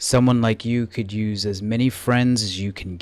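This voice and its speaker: This man uses a put-on, gravelly character voice at a medium pitch. His pace is moderate and his intonation fairly even. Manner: ominous.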